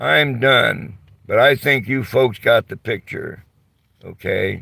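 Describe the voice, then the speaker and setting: A man talks at a very slow pace. His pitch is medium. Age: 70s. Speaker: vlogger. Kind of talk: rant to camera. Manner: animated; halting.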